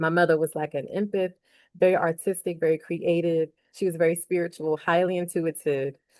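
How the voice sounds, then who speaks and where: A woman with an American accent speaks at a fairly quick pace in a fairly low pitch, her intonation monotone and flat. The sound is dry and close with no echo, over a quiet background. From US Northeast, Philadelphia. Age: 40s. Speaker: academic and author. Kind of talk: casual vlog monologue. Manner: hesitant, many fillers.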